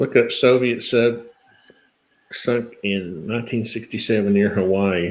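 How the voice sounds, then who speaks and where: Here is a man with a plain, everyday voice at medium pitch. His pace is fairly slow and his intonation fairly even. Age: 50s. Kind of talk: casual live stream chat.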